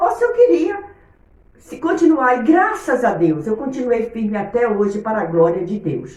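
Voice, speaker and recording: Over noticeable background noise and audible room echo, a woman speaks in an animated tone at a moderate pace with a high pitch. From Brazil, Bahia (Itabuna). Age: 60s. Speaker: Sunday school teacher, missionary. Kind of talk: Bible lesson.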